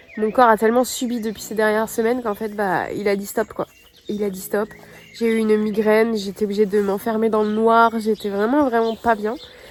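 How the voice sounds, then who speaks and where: A woman's fairly high, monotone voice with flat intonation at a moderate pace, plus noticeable background noise. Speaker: vlogger. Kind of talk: casual vlog talk. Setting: at home.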